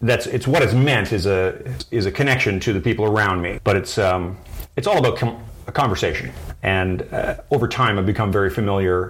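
A man's fairly low voice with a Canadian accent, ordinary pitch variation, a fairly quick pace and noticeable background noise. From rural midwestern Ontario, Canada. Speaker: wood horn maker. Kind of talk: interview. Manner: halting.

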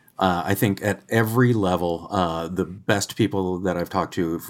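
A man talks at a very deep, low pitch on a very clean recording with a silent background. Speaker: agencies reporter and editor. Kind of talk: interview conversation. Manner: hesitant, filler words.

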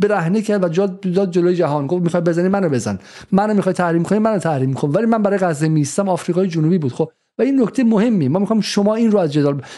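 A man's very fast delivery, high in pitch, with a dark, mellow tone and ordinary pitch variation. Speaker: podcast host. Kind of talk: interview discussion.

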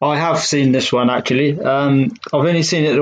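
A man talks in a normal speaking voice at medium pitch. He keeps a moderate pace with ordinary pitch variation. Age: 20s. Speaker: podcast host. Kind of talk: interview.

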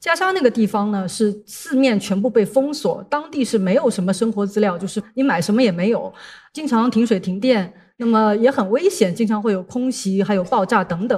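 Somewhat breathy, fairly high voice of a woman at a moderate pace with lively intonation. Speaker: international journalist and speaker. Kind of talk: talk to an audience. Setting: stage with audience.

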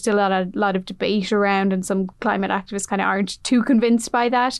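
Speaking at a fairly quick pace, a woman with an Irish accent keeps her intonation fairly even. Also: quiet background. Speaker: news reporter. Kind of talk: interview.

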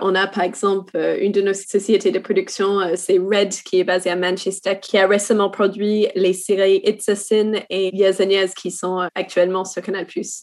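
The speaker has an English accent and a fairly slow pace. The intonation stays flat and monotone. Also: woman, medium pitch for a woman. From New Zealand. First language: English (speaking French). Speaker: TV series development manager. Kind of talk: work meeting conversation.

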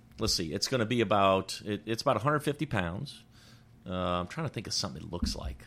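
A man talks at a very fast pace, his fairly low voice carrying vocal fry and very wide pitch swings. The recording is very clean, with a silent background. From New Orleans area, Louisiana. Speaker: business owner, transmission manufacturer. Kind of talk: interview.

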